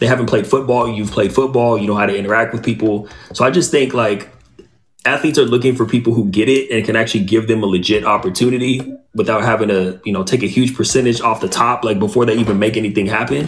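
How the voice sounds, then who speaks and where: This man speaks at a very fast pace in a medium pitch, with ordinary pitch variation and a somewhat breathy quality. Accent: American. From Southern California (Inland Empire). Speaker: former athlete, author and podcast host. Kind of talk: interview on a podcast.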